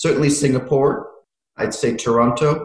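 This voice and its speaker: With an American accent, a man talks at medium pitch in a somewhat breathy voice with fairly even intonation. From United States. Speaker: fintech consultant. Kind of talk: interview.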